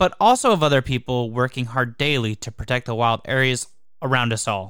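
With an ordinary speaking voice at a medium pitch, a man talks at a fairly quick pace on a very clean recording with a silent background. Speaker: podcast reviewer. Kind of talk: scripted narration.

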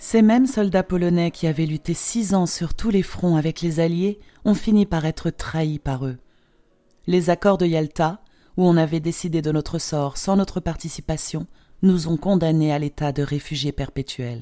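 Over a very clean recording with a silent background, a woman talks at a fairly slow pace in a fairly low pitch with a dark, mellow tone. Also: ordinary pitch variation. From Poland. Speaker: memoir author. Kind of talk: memoir narration.

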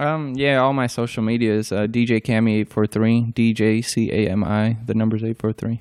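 In a quiet background, a man at medium pitch talks at a moderate pace with fairly even intonation, very even loudness and hardly any pauses. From Albania, raised from age ten in New Jersey and South Carolina. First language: Albanian. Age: 20s. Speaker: comedian. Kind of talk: interview answers. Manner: hesitant, many ums.

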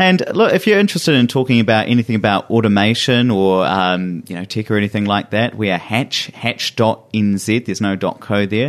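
In a New Zealand accent, a man with a fairly low pitch talks at a fairly quick pace with hardly any pauses and ordinary pitch variation. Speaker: tech partnerships manager and podcaster. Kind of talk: casual chat.

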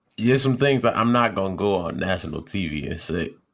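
A man's voice with vocal fry. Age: 20s. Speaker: podcast co-host. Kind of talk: casual chat. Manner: animated.

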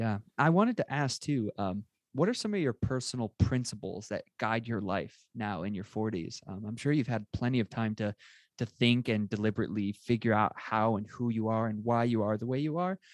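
Against a quiet background, a man with a plain, everyday voice talks at a fairly quick pace with ordinary pitch variation and a dry, close sound with no echo. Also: medium pitch for a man. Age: 20s. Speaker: podcast host. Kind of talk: interview.

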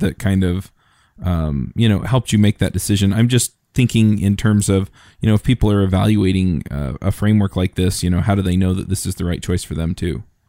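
A man with a fairly low pitch and a dark, mellow tone talks at a fairly quick pace, in a dry, close sound with no echo on a very clean recording with a silent background. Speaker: tech podcast host. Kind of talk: podcast hosting and sponsor reads.

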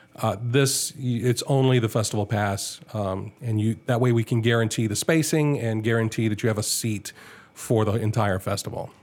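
A man with an American accent, medium pitch, fairly even intonation and a moderate pace. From US South, Augusta, Georgia. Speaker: film festival organizer, former radio worker. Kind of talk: casual interview chat.

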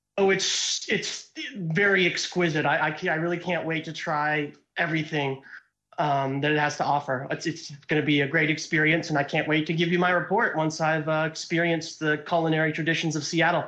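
A fairly high-pitched male voice with an American accent, moving at a fairly quick pace. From US Pacific Northwest. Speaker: caller. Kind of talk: call-in conversation. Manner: animated.

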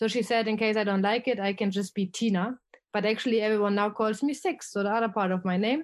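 Against a quiet background, a woman with a German accent talks very fast at a fairly high pitch, her intonation fairly even and her loudness very even. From Germany. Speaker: expat travel blogger. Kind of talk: casual interview conversation.

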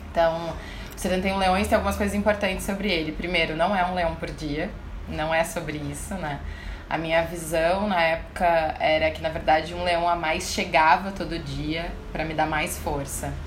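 A woman with a fairly low pitch speaks at a moderate pace in a monotone, flat intonation. Noticeable background noise runs beneath her. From Brazil, Porto Alegre (Rio Grande do Sul). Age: 30s. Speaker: author and inclusion speaker. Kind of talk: interview.

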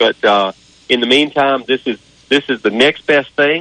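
A man with an unremarkable speaking voice, medium pitch and a moderate pace. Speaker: track spokesperson. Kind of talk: phone interview. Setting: phone call.

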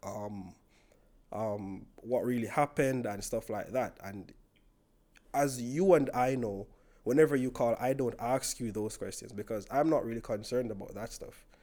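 In a Jamaican accent, a man with a dark, mellow tone and a medium pitch speaks at a moderate pace, his loudness swinging widely and his pitch varying in an ordinary way, on a very clean recording with a silent background. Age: 20s. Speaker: podcast guest. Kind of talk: casual chat.

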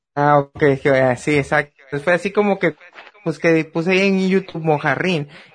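A man's intonation is lively as he talks at a moderate pace in a fairly high voice. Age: 30s. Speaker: podcast host. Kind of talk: casual chat.

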